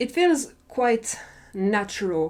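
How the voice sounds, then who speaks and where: In a very clean recording with a silent background, a woman with a non-native accent speaks at a fairly high pitch in a dark, mellow tone. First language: not English. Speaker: drama reviewer. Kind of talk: casual review monologue. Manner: animated.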